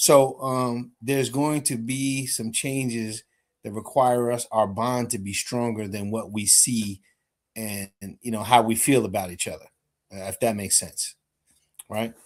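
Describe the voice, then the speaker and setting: With a plain, everyday voice, a man speaks at a fairly slow pace, his medium pitch carried by fairly even intonation. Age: 60s. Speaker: show host, military veteran. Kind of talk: casual group discussion.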